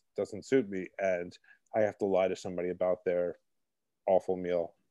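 With a Brooklyn accent and a dark, mellow tone, the speaker talks at a moderate pace in a dry, close recording with no echo and a quiet background. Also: man. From Brooklyn, New York. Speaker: columnist and cookbook author. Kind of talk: casual interview. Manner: halting, many repetitions and fillers.

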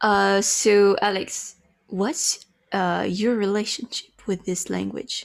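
A woman speaks with a French accent. Her pace is very slow. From France. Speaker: podcast co-host. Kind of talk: casual chat.

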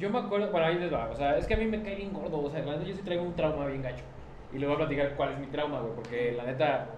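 A man with a Mexican accent talking at a very fast pace, lively intonation, audible room echo and noticeable background noise. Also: fairly high pitch for a man. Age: 20s. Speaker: car content creator and podcast host. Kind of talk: casual chat.

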